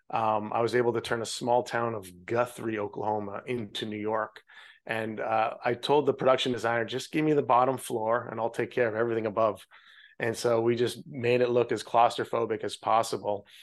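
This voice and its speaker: Against a quiet background, a man speaks at a fairly quick pace in a monotone, flat intonation. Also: medium pitch for a man. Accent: Canadian Prairies. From Canada, Saskatchewan (Regina). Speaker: film director. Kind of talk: interview.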